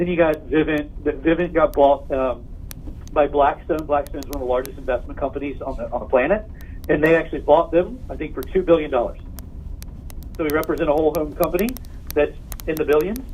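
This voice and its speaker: Over noticeable background noise, a man with a fairly high voice talks at a fairly quick pace, using ordinary pitch variation and long, frequent pauses. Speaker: sales company regional consultant. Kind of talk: sales recruitment pitch. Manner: fast.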